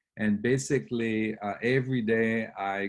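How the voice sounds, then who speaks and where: A man with a slight French Canadian accent, fairly low pitch and fairly even intonation, against a quiet background. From Quebec. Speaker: real estate investor. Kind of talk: webinar presentation. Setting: online webinar. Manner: halting, many fillers.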